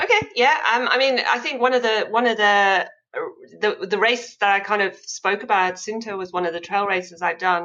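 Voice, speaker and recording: Speaking at a moderate pace in an American accent, a woman uses a fairly high pitch with ordinary pitch variation. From South Africa. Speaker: amputee ultrarunner. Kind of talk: interview, personal story.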